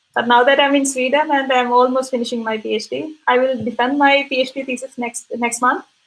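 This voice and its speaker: With a Keralan accent, a high-pitched woman speaks fairly quickly in a flat monotone, hardly pausing at all. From India, Kerala. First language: Malayalam. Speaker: physician and researcher. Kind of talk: interview.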